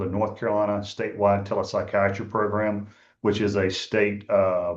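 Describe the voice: Strong room echo around a man speaking at a fairly quick pace and fairly low pitch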